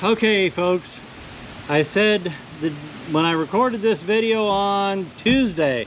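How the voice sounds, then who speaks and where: Lively intonation over noticeable background noise. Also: man. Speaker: antiques and vintage lantern YouTuber. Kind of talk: casual vlog talk to camera. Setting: outdoors at night. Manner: loud, yelling over wind.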